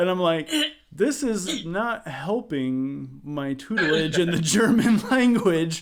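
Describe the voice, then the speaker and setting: This man has a high pitch and lively intonation. He talks at a very slow pace. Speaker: musician. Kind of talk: casual chat.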